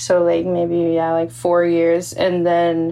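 A woman speaks fairly slowly in a fairly low pitch. She has an ordinary speaking voice. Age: 20s. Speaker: music video channel co-founder. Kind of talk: casual chat.

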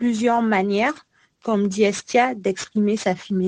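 In a normal speaking voice, a woman talks at a fairly high pitch and a fairly slow pace. Her intonation is fairly even, and the sound is dry and close with no echo. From Congo. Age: 20s. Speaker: PhD student in biology. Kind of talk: casual chat.

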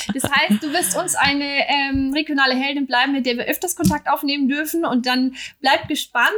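A woman speaks at a high pitch with ordinary pitch variation over noticeable background noise. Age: 40s. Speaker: podcast host. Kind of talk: casual chat. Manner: fast when anxious.

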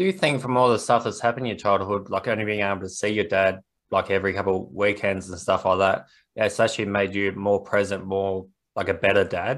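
Very fast speech from a fairly low-pitched man with an Australian accent, on a very clean recording with a silent background. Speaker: podcast host and author. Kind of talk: casual interview.

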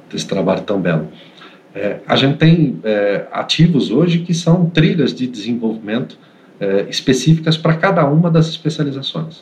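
A man speaks with very wide pitch swings. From Santos, São Paulo state, Brazil. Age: 40s. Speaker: IT operations manager. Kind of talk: interview conversation. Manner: hesitant, many fillers and repetitions.

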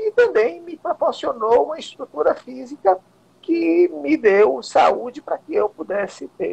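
The man speaks at a fairly slow pace in a dry, close recording with no echo. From Bahia interior, Vitória da Conquista. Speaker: martial arts grandmaster and council candidate. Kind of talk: interview.

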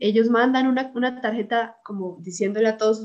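This speaker uses a plain, everyday voice, moving at a moderate pace with fairly even intonation. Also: woman. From Colombia, Bucaramanga. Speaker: university student. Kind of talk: casual chat.

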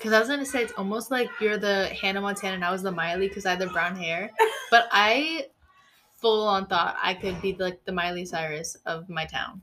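At a fairly quick pace, a woman talks in a normal speaking voice, her medium pitch carrying ordinary pitch variation. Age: 20s. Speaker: podcast co-host, college student. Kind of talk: casual chat.

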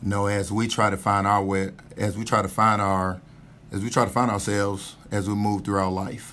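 Pitched fairly low, a man talks with a Southern US accent. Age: 30s. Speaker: army officer. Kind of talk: casual chat.

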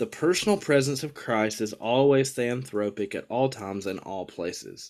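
With an American accent, a man talks at a moderate pace in a medium pitch, a plain, everyday voice with lively intonation. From US South. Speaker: podcast host, divinity student. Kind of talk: casual theological discussion. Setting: video call.

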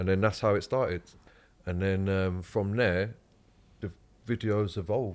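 A man with a London accent, fairly low in pitch, at a fairly slow pace with long, frequent pauses and fairly even intonation. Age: 30s. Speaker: guest. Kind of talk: casual chat.

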